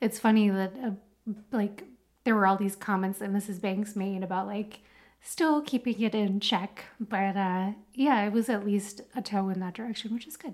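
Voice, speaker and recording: A woman with an American accent speaks in a plain, everyday voice at a moderate pace. Her pitch is medium and her intonation fairly even. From United States. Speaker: podcast co-host. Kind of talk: casual chat.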